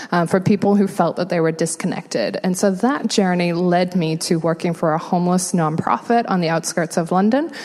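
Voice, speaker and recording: A woman with an American accent, fairly low in pitch, at a moderate pace with ordinary pitch variation, over noticeable background noise. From England. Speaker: homelessness nonprofit worker. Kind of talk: interview.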